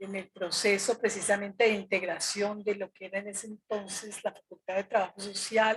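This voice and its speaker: A woman's medium-pitched, somewhat breathy voice at a moderate pace, monotone and flat in intonation, with big swings in loudness and hardly any pauses. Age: 70s. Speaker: retired social worker, former student leader. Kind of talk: interview.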